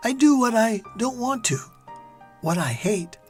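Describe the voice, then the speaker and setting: A man's pitch swings very widely as he talks at a fairly slow pace with music in the background. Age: 70s. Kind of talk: scripted narration.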